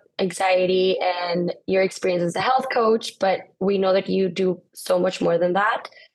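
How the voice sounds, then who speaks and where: In a Spanish accent, a woman speaks at a moderate pace with very even loudness. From Guatemala. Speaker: podcast co-host. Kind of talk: casual interview.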